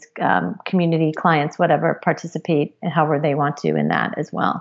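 Noticeable background noise sits behind a woman whose voice is very deep and low. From Japan and abroad (third culture kid). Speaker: marketing executive. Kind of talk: interview.

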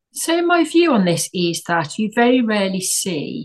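A woman with an English accent, at a fairly slow pace. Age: 60s. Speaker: tech entrepreneur. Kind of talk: interview.

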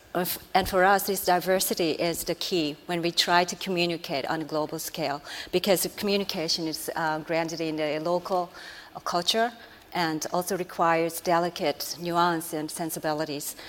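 Speaking in a Japanese accent, this voice keeps a moderate pace and fairly even intonation. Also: woman, fairly low pitch for a woman. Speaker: strategic planner. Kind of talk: panel discussion.

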